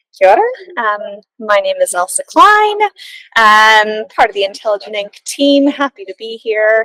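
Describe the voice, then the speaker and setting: A woman with an American accent and a plain, everyday voice speaks at a fairly slow pace and fairly high pitch, with ordinary pitch variation, big swings in loudness, and a dry, close sound with no echo. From US Midwest, Des Moines, Iowa. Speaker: book writing team member. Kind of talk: casual chat.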